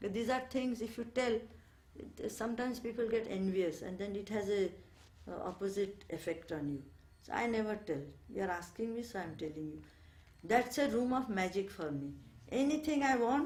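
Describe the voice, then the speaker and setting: Audible room echo surrounds a woman whose fairly high, somewhat breathy voice has lively intonation. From India, Bengal. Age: 70s. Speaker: ashram resident. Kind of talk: interview, reminiscence. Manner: hesitant, many fillers.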